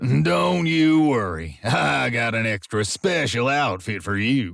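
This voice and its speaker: Using a put-on character voice, a man talks at a fairly slow pace and medium pitch with very wide pitch swings. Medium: read story. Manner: bossy, manipulative.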